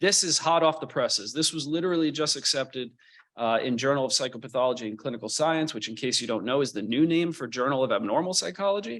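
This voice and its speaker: Lively in intonation, a man with a fairly high pitch talks at a very fast pace. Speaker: psychology professor and clinical psychologist. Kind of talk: lecture.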